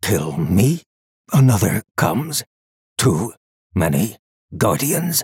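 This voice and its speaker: In a raspy put-on character voice, a man speaks at a very slow pace with very wide pitch swings and long, frequent pauses, the sound dry and close with no echo. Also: fairly low pitch for a man. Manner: clipped, each word a separate heavy statement; menacing, gleeful.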